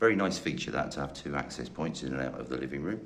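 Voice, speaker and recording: A man speaks with a very deep, low pitch. Room echo is audible. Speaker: estate agent. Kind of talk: property tour narration.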